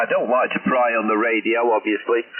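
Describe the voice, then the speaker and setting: A man talks at a fairly quick pace. Noticeable noise sits in the background. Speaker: amateur radio operator. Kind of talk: ham radio contact. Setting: radio link.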